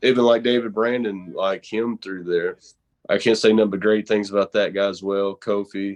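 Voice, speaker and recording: This man has a strong Southern accent. His pitch sits in the medium range. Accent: thick Southern. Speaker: horror show host and pro wrestler. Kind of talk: casual interview.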